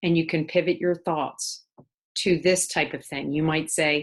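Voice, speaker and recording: A woman with a normal speaking voice at a moderate pace, ordinary pitch variation and a quiet background. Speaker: life coach. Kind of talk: tutorial.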